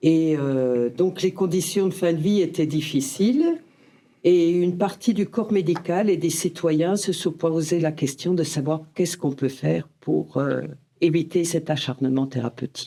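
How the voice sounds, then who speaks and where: At a fairly slow pace and very even loudness, a woman talks in a dark, mellow tone with a fairly low pitch. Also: ordinary pitch variation. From Franche-Comté, eastern France. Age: 60s. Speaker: end-of-life care volunteer. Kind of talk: podcast interview.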